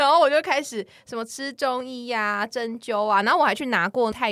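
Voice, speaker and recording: In a very clean recording with a silent background, a woman with a fairly high pitch speaks at a fairly quick pace. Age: 30s. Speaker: podcast co-host. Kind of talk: casual chat.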